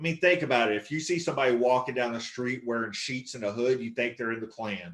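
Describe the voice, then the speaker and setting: A man talks at a very fast pace with a Southern US accent. His pitch is medium, with ordinary variation. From Texas. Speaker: stand-up comedian. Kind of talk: stand-up.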